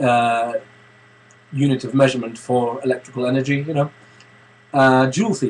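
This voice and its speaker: A man with a medium pitch and fairly even intonation speaks with long, frequent pauses. Noticeable background noise runs underneath. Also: moderate pace. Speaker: vlogger and music composer. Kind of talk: casual webcam vlog. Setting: home studio, webcam. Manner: hesitant, many fillers.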